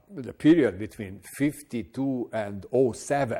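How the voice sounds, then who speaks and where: Dark, mellow male speech with ordinary pitch variation. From Hungary. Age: 70s. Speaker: artist and retired professor. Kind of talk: interview. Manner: hesitant, many filler words.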